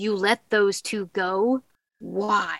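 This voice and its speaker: A woman's put-on character voice at a medium pitch. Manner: fake, stagey.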